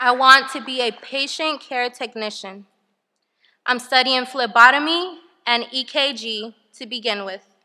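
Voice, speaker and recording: Against a quiet background, a woman projects a raised, high-pitched voice with a bright, sharp tone and big swings in loudness. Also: ordinary pitch variation, fairly slow pace. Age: 20s. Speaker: formerly homeless single mother. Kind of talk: testimony. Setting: stage with audience.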